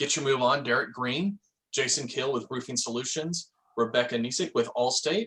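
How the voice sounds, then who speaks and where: Bright and sharp in tone, a man speaks at medium pitch with ordinary pitch variation. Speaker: real estate office manager. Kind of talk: office meeting announcements. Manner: fast.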